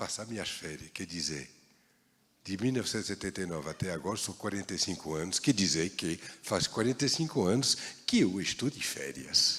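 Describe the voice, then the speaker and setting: A man talks with a French accent in a very deep, low voice. His intonation is lively and his pace moderate. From France, Paris. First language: French (speaking Portuguese). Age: 60s. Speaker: baker. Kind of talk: talk to an audience.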